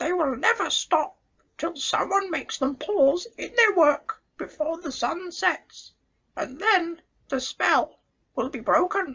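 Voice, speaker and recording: A put-on character voice speaks at a fairly slow pace and an extremely high pitch. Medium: read story. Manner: chatty, knowing.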